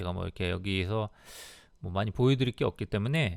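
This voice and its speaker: The man's intonation is lively, captured in a very clean recording against a silent background. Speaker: travel YouTuber. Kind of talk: casual monologue. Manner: halting.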